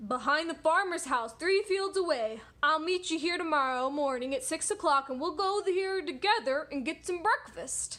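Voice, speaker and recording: Put-on character voice from a woman, pitched extremely high and delivered at a moderate pace. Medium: read story. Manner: sly.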